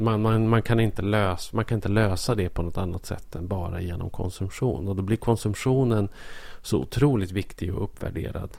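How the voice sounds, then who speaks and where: A man with a plain, everyday voice talks at a moderate pace, his pitch fairly low and its variation ordinary. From southern Norrland, Sweden (Bollnäs). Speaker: podcast co-host. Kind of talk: casual chat.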